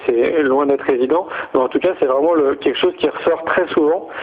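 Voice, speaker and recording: A man's fairly high voice at a moderate pace, against noticeable background noise. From France. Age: 40s. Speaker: entrepreneur in education. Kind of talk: radio interview. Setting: radio studio. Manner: hesitant, many fillers.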